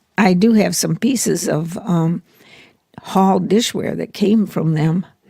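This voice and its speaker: A woman with an American accent, a medium pitch, a somewhat breathy, dark, mellow tone, and a very slow pace. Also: ordinary pitch variation. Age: 80s+. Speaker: grandmother interviewee. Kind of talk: interview.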